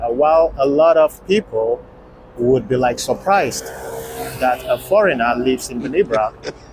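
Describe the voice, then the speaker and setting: A man with a non-native accent, medium-pitched, talking at a moderate pace over noticeable background noise. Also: lively intonation. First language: not English. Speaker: travel vlogger. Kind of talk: vlog narration.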